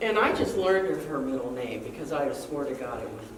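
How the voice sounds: A woman talks with lively intonation, and audible room echo surrounds her voice.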